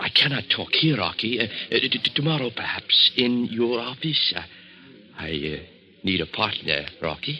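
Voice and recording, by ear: This put-on character voice sounds bright and sharp with a slightly husky edge. The intonation is lively. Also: man, fairly low pitch for a man, moderate pace.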